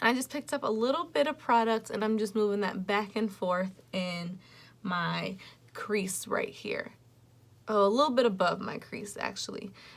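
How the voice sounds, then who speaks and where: A woman talks with a fairly high pitch. Her pitch varies in an ordinary way. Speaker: beauty vlogger. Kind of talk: tutorial. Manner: slow; casual.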